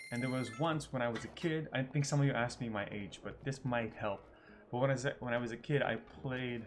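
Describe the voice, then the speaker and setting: A man at medium pitch and a very fast pace, fairly even in intonation, with music in the background. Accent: American. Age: 30s. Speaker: gaming youtuber. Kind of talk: live stream gameplay Q&A. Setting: live stream.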